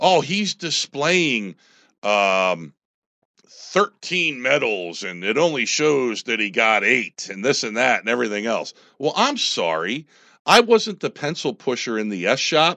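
A man speaks loudly in an American accent, with vocal fry. His pitch swings very widely at a fairly slow pace. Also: medium pitch for a man. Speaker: army veteran and former political candidate. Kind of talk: radio interview. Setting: radio studio.

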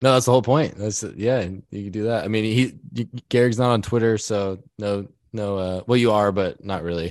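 A man's normal speaking voice, fairly low in pitch, at a moderate pace against a quiet background. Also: ordinary pitch variation. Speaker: podcast host. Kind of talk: casual chat.

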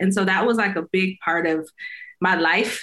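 A woman speaking at a moderate pace. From US Midwest, small-town Illinois. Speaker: author, speaker and faith coach. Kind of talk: interview, personal testimony.

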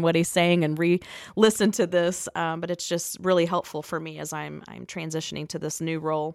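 A woman speaks quite quickly in a flat monotone at a fairly low pitch, recorded dry and close with no echo against a silent, very clean background. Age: 30s. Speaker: incoming executive director of a rescue mission, podcast co-host. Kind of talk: interview questions in casual chat.

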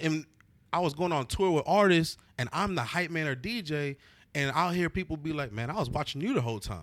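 In a very clean recording with a silent background, a man with an American accent talks at a fairly quick pace in an ordinary speaking voice, his pitch fairly high and his intonation lively. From Austin, Texas. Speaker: event host and DJ. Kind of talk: casual chat.

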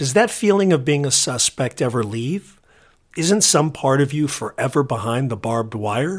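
A man speaks with a Californian accent at a fairly high pitch. His intonation is lively and his pace moderate. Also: very clean recording, silent background. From southern California. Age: 50s. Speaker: podcast host. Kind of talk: scripted narration.

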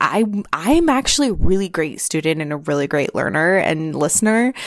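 A woman with a plain, everyday voice, medium pitch and lively intonation. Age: 30s. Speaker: podcast host. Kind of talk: solo monologue, personal storytelling. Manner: casual, frequent fillers and laughs.

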